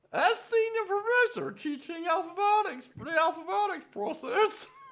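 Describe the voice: Pitched extremely high, the put-on character voice proceeds at a middling pace.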